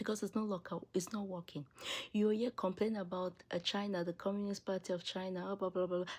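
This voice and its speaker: An animated voice comes through with an African accent. The recording is very clean, with a silent background. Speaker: political commentary video creator. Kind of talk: opinion monologue.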